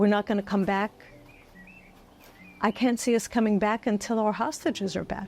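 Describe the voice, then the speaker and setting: A woman with a New York accent talks at a moderate pace with long, frequent pauses. Her pitch is fairly high and her intonation fairly even. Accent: New York American English. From United States, New York (Bronx). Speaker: former educator, October 7 survivor. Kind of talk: interview answer.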